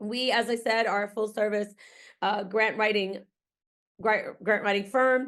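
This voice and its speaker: The voice is monotone, with flat intonation and long, frequent pauses. The background is quiet. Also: woman, fairly high pitch for a woman, fairly slow pace, very even loudness. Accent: slight Massachusetts. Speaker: grant writing consultant and researcher. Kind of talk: webinar presentation. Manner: casual, with frequent fillers.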